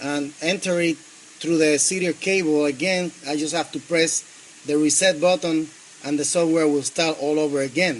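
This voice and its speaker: With noticeable background noise behind him, a man with a fairly high pitch speaks in a Spanish accent at a moderate pace and with fairly even intonation. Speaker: engineering student. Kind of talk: project demonstration. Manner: halting, many fillers.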